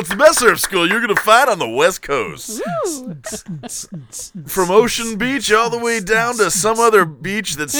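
A man with a high pitch projects a raised voice at a moderate pace, with ordinary pitch variation and noticeable background noise. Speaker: podcast host. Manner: announcer-style ad read.

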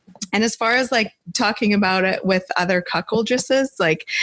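At a moderate pace, a woman with an unremarkable speaking voice talks with ordinary pitch variation, recorded dry and close with no echo. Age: 40s. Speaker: lifestyle co-host. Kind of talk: live podcast Q&A. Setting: studio.

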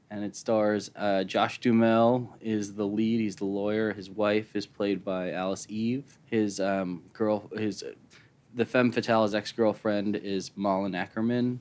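Speaking at a fairly slow pace in an American accent, a man keeps a fairly low pitch and monotone, flat intonation. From US Midwest, Chicago. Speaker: writer and film director. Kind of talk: casual interview. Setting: studio.

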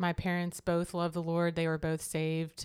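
A woman speaks with a slight Southern US accent and a fairly low pitch. The recording is very clean, with a silent background. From Florida Panhandle, US South. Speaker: churchgoer sharing faith story. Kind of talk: testimony.

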